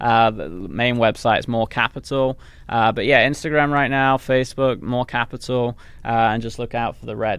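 Moderate pace and fairly even intonation, in an English accent. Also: man, medium pitch for a man. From England. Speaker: business owner. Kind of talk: casual interview chat. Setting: office, video recording.

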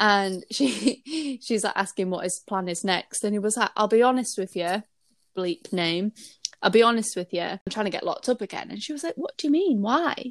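In a very clean, dry, close recording with a silent background and no echo, a woman with an English accent speaks at a fairly high pitch and moderate pace with lively intonation. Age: 30s. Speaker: podcast co-host. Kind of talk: casual chat.

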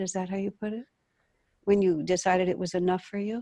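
Against a quiet background, a woman with a dark, mellow tone and medium pitch speaks at a fairly quick pace. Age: 70s. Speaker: talk show host, spiritual teacher. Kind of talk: interview. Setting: video call.

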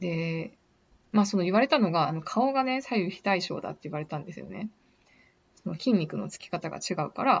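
Her medium-pitched voice, marked by vocal fry, moves at a fairly quick pace as this woman speaks with lively intonation and big swings in loudness. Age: 30s. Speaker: podcaster working in beauty industry. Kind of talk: casual monologue. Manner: hesitant, many fillers.

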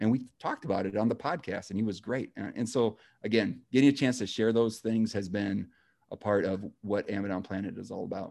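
A man with a normal speaking voice talks at a fairly quick pace, his fairly low pitch moving with ordinary variation, on a very clean recording with a silent background. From northern Wisconsin. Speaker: education professor. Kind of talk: interview.

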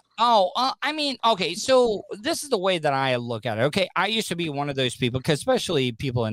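A man with an American accent, an ordinary speaking voice, lively intonation and a moderate pace. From Florida. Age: 40s. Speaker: radio personality and podcaster. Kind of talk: casual chat.

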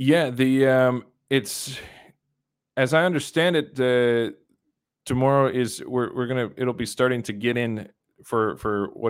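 With a Canadian accent, a man speaks at a medium pitch and a moderate pace. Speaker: livestream host and commentator. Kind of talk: live commentary. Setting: home shed studio.

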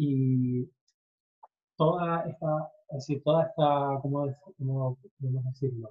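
Speaking at a very slow pace with long, frequent pauses, a man talks at a fairly high pitch. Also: fairly even intonation. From Canary Islands (Tenerife). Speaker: SEO consultant. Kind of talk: interview. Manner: halting.

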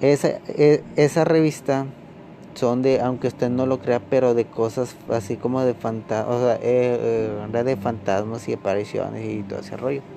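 With a Mexican accent, a man speaks at a medium pitch and fairly even intonation amid noticeable background noise. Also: fairly slow pace. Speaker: podcaster. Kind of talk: storytelling. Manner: halting; casual.

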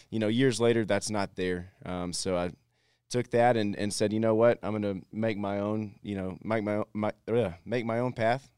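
A man with a Southern accent speaks at a moderate pace in a fairly low pitch. His intonation stays fairly even, and the recording is very clean with a silent background. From Texas. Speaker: entrepreneur. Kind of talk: interview.

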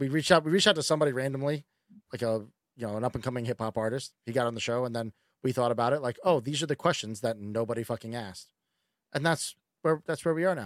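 A man talks at a very fast pace, his pitch medium with ordinary variation. The recording is very clean and the background silent. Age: 30s. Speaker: podcast host. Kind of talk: casual chat. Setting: home recording room.

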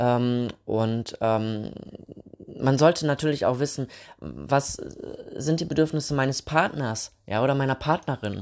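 Here a man talks at a very slow pace. His pitch is medium, with ordinary variation. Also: very clean recording, silent background. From Thuringia, Germany. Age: 30s. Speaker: podcast host. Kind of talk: casual solo podcast talk. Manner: hesitant, many filler sounds.

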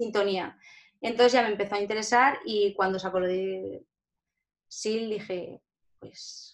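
A woman talks at a fairly slow pace, with long, frequent pauses and big swings in loudness. Her medium pitch stays fairly even in intonation. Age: 20s. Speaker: lottery shop owner and psychology student. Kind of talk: interview. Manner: halting.

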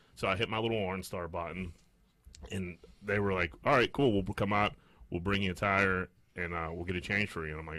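A man speaks at a fairly quick pace with a very deep, low pitch and ordinary pitch variation. His tone is bright and sharp, in a very clean recording with a silent background. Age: 30s. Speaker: podcast co-host. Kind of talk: casual chat.

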